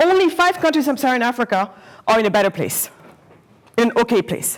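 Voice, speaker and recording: An animated voice swings very widely in pitch over noticeable background noise. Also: woman. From Senegal, raised partly in Germany. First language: not English; English is her fourth language. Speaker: entrepreneur, guest speaker. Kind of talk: talk to students. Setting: lecture hall with student audience. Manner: occasionally stumbling over words; animated, interactive.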